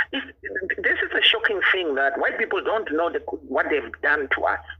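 A man keeps to a moderate pace while noticeable noise sounds behind him. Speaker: political party leader. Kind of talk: heated debate. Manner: animated.

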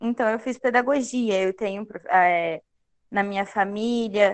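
This woman has a normal speaking voice with a fairly high pitch. Her intonation stays fairly even. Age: 20s. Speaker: pedagogy student. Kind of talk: casual interview.

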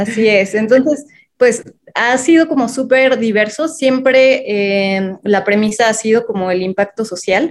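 The speaker talks at a fairly slow pace. Pitch variation is ordinary. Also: woman, fairly high pitch for a woman. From Mexico City. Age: 30s. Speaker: social entrepreneur. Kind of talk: interview. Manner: hesitant, many fillers.

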